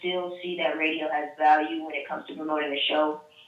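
Over audible room echo, a woman speaks at a moderate pace in a very deep, low voice with monotone, flat intonation. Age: 20s. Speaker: radio host and promotions staffer. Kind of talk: interview.

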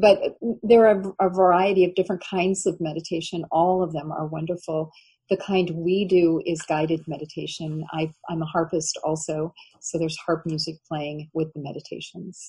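In a fairly low, somewhat breathy voice with a dark, mellow tone, a woman speaks with fairly even intonation. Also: moderate pace. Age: 60s. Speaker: author. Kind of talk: interview.

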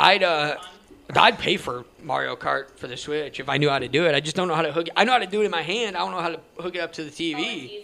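A man with fairly high pitch talks at a very fast pace in a bright, sharp tone, with lively intonation and vocal fry. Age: 20s. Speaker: podcast host. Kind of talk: casual chat.

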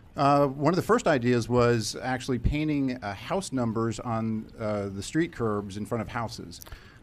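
A man with an American accent, medium pitch and ordinary pitch variation, at a moderate pace with hardly any pauses. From Virginia Beach, Virginia. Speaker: fintech startup founder. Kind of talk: interview. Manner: hesitant, many fillers.

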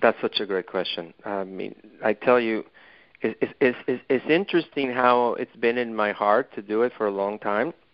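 A moderate pace with ordinary pitch variation. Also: man, medium pitch for a man. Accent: Mexican. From Mexico City. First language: Spanish. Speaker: author and dentist. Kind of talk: interview. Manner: halting, hesitant.

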